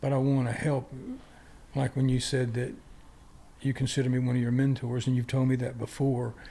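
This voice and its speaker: In an American accent, a man with a medium-pitched, dark, mellow, somewhat breathy voice speaks at a fairly quick pace in a monotone, flat intonation, keeping very even loudness while taking long, frequent pauses. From US South. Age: 70s. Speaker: martial arts grandmaster. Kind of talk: interview conversation.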